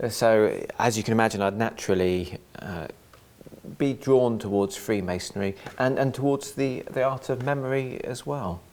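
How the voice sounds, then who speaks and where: At a moderate pace, a man with an English accent speaks at medium pitch with ordinary pitch variation. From England. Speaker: author and freemason. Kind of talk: interview. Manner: halting.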